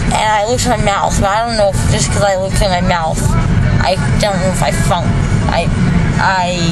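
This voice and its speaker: A woman at a fairly quick pace with clear music in the background. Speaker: vlogger after oral surgery. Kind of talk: casual vlog chat. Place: car. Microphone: phone near.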